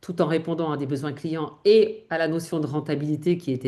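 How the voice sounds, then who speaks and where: A woman speaks at a fairly quick pace. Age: 50s. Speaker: image consultant. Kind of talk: interview conversation. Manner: hesitant, many fillers.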